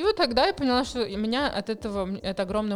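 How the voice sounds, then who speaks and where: A woman talks with vocal fry. Her pitch varies in an ordinary way. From Moscow, Russia. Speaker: charity founder. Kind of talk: interview. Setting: studio.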